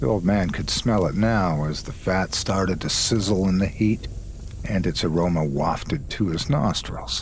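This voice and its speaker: There's noticeable noise in the background. The speaker talks at a fairly slow pace. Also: man. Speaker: guest storyteller lending his voice. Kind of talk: scary story narration.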